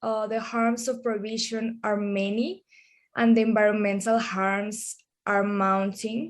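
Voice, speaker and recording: Pitched fairly high, a woman talks with a non-native accent. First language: Spanish. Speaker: drug policy researcher. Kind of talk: webinar panel talk. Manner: slow.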